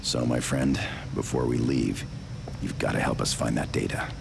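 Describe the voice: A man speaks at a moderate pace in a put-on character voice, extremely low-pitched with vocal fry and ordinary pitch variation, over clear background noise.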